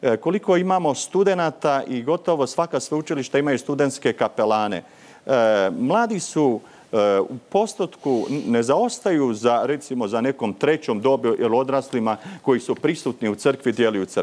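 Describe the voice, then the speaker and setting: This man has a normal speaking voice at a medium pitch, moving at a moderate pace. His intonation is lively while his loudness stays very even. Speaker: parish priest. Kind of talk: TV panel discussion. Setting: remote studio link. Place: studio. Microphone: lapel.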